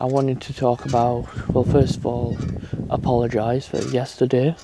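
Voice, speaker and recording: Speaking with a British accent at a fairly slow pace, a man keeps a medium pitch and fairly even intonation over noticeable background noise. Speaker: gaming YouTuber. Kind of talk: casual vlog monologue. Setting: outdoors in garden on swing chair.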